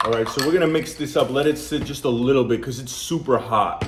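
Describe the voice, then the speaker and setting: Pitched fairly high, a man with a New York accent talks with ordinary pitch variation. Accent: New York American English. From US Northeast, Brooklyn, New York (Polish community). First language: Polish. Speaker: food reviewer, channel host. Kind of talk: casual product review. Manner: chatty, conversational.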